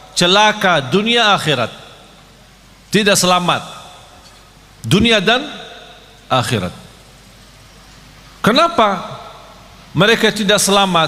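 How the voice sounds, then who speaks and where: Man in a raised, projected voice at a high pitch, very slow pace and very even loudness, with lively intonation, long, frequent pauses, audible room echo and noticeable background noise. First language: Arabic (speaking Indonesian). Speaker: Islamic preacher. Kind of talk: sermon. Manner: not fully fluent.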